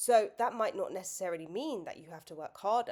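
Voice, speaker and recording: A woman speaks with lively intonation. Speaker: business and mindset coach. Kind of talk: motivational talk to camera. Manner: halting, self-correcting; casual.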